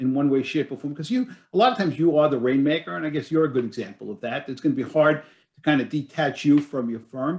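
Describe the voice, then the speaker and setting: A very fast-talking man, fairly high in pitch, with ordinary pitch variation. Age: 60s. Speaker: business succession advisor. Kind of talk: webinar panel discussion. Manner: hesitant, many fillers and restarts.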